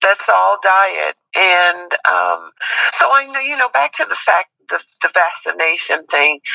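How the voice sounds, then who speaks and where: The sound is dry and close, with no echo. A woman speaks at a fairly slow pace. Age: 60s. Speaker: host's mother. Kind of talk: casual chat.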